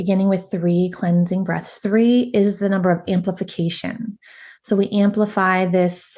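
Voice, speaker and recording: Against a quiet background, a woman talks in a dark, mellow tone that is calm and soothing, her intonation monotone and flat. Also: medium pitch for a woman. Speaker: meditation guide and women's empowerment coach. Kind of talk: guided meditation. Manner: slow, calm, soothing.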